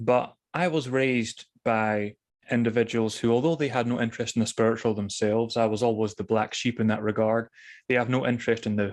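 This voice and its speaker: In a Scottish accent, a man talks at a fairly quick pace with fairly even intonation against a quiet background. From Scotland (Thurso, far north). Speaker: author on spirituality. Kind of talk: interview. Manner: careful enunciation, drops T's.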